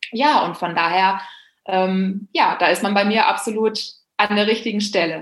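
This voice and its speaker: Here a woman has an ordinary speaking voice. She moves at a moderate pace with fairly even intonation. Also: medium pitch for a woman. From Germany, Bielefeld. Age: 30s. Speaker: public speaker and blogger. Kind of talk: casual interview.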